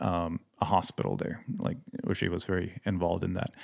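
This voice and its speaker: In a Swedish accent, a man with a very deep, low pitch speaks in a monotone, flat way on a very clean recording with a silent background. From Sweden. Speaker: missionary pilot and mechanic. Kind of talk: casual interview chat.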